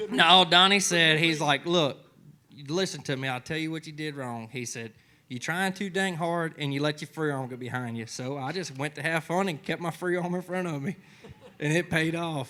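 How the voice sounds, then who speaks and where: On a very clean recording with a silent background, a man with a bright, sharp tone and a fairly high pitch speaks at a moderate pace with ordinary pitch variation. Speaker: bull rider. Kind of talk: TV interview.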